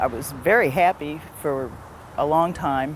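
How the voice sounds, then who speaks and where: Female speaker in an American accent, pitch varying in an ordinary way. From Missouri, US Midwest. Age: 40s. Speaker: interviewee. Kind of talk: personal testimony.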